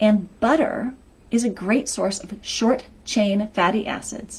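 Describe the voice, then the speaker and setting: The woman's voice sits fairly high. There is a somewhat breathy quality to it. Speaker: health coach. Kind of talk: live stream talk. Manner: energetic.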